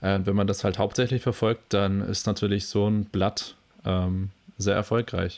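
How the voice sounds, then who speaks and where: On a very clean recording with a silent background, the speech moves at a fairly slow pace in a monotone, flat intonation with very even loudness. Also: man, fairly low pitch for a man. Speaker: podcast co-host. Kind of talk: casual chat.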